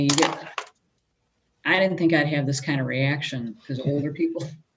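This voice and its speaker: In a room with audible echo, a woman with a very deep, low pitch speaks at a moderate pace with ordinary pitch variation. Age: 50s. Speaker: prosecutor's office staff. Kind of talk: casual chat.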